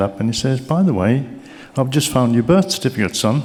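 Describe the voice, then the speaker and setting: Over noticeable background noise, a man talks with a Birmingham accent and ordinary pitch variation. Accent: Brummie. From Birmingham, England. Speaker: keynote speaker. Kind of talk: motivational speech. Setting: stage with audience. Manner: animated.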